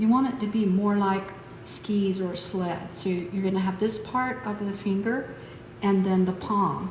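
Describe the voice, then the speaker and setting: Against noticeable background noise and audible room echo, a woman talks at a medium pitch with fairly even intonation. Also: fairly slow pace. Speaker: massage instructor. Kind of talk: tutorial.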